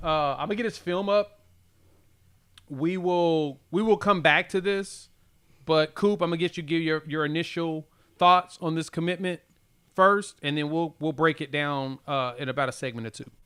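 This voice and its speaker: A loud male voice, fairly high in pitch, with a bright, sharp tone, ordinary pitch variation and a moderate pace, on a very clean recording with a silent background. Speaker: sports podcast host. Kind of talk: casual chat. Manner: animated.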